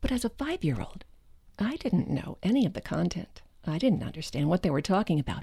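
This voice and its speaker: A woman with an American accent speaks at a medium pitch and a fairly quick pace, her pitch swinging very widely. Her dark, mellow tone carries vocal fry on a very clean recording with a silent background. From New Jersey. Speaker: voice artist. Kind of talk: interview.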